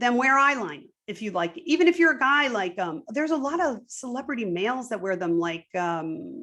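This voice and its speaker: Her voice is high-pitched and animated, with very wide pitch swings. The woman keeps a moderate pace with hardly any pauses. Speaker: activist interviewee. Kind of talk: interview conversation. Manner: chuckles softening speech.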